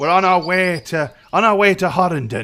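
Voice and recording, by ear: Putting on a character voice, a man speaks in a high pitch at a moderate pace, his tone bright and sharp and his intonation lively.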